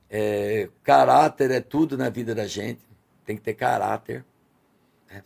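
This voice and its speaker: Speaking at a moderate pace, a man with a medium pitch shows ordinary pitch variation and vocal fry. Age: 60s. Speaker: restaurant owner. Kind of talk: podcast interview.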